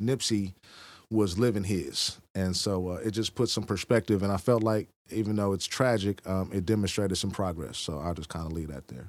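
A man speaks at a moderate pace in a fairly low pitch with ordinary pitch variation, on a very clean recording with a silent background. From Oakland, California; moved to Texas at sixteen. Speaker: author and police trainer. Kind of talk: casual interview. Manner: halting, frequent ums.

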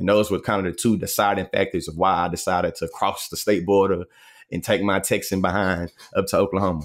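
Over a very clean recording with a silent background, a man talks at a very fast pace with a fairly low pitch. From Texas. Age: 30s. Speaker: debate coach and content creator. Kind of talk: interview. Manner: animated, articulate.

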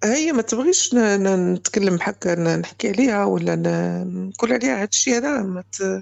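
A woman speaks in a Moroccan accent. Her pace is fairly slow. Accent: Moroccan Arabic (Darija). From Morocco. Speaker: caller, mother. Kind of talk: personal testimony. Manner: halting, repetitive.

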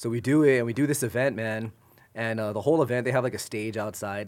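A man talks at a very fast pace, his intonation fairly even. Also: very clean recording, silent background. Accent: American. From Inland Empire, Southern California. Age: 30s. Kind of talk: casual chat.

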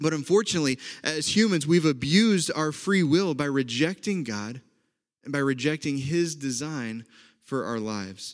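A man with an Oklahoma accent, fairly high pitch, lively intonation and a moderate pace. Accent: Oklahoma Southern-leaning American. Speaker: pastor. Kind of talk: sermon. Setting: online church service.

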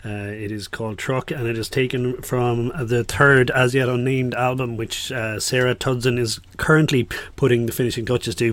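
Speaking in an Irish accent at a moderate pace, a man keeps a medium pitch and fairly even intonation, with hardly any pauses. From Ireland. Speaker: radio DJ. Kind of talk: radio music show presenting. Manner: casual, hesitant with fillers.

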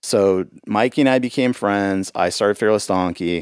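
With an American accent, a man talks in an unremarkable speaking voice at a fairly low pitch, the sound dry and close with no echo. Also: very clean recording, silent background. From Los Angeles, California. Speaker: musician and podcast host. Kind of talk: casual chat.

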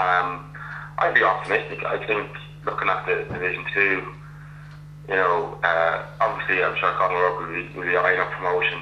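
In a Meath Irish accent, a man talks at a moderate pace with long, frequent pauses, amid noticeable background noise and audible room echo. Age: 30s. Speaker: Gaelic football club captain. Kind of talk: casual interview. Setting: phone call.

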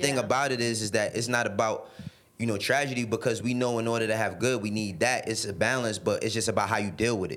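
A man with a New York accent talks very fast at a medium pitch, with ordinary pitch variation. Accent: New York City. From New York City, the Bronx and Harlem. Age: 30s. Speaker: music industry executive. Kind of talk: casual chat.

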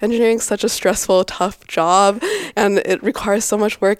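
Here is a plain, everyday voice from a woman, medium in pitch and fairly even in intonation. The sound is dry and close, with no echo. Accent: American. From US, Boise, Idaho. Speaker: engineering student. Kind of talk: casual interview chat.

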